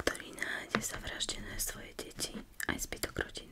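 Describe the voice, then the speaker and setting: A woman whispers at a moderate pace. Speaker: ASMR creator and book reviewer. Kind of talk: casual book review talk to camera. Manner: soft-spoken.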